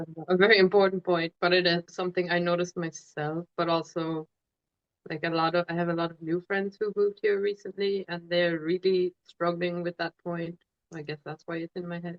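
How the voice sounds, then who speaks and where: Her voice fairly low, a woman speaks in an Irish accent with monotone, flat intonation. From Ireland. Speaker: tattoo artist. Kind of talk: casual chat.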